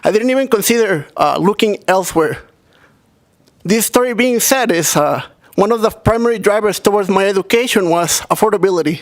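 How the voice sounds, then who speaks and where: A man's high-pitched voice at a fairly quick pace, with very even loudness and ordinary pitch variation. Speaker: graduate student representative. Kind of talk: public comment at hearing. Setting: legislative committee hearing room.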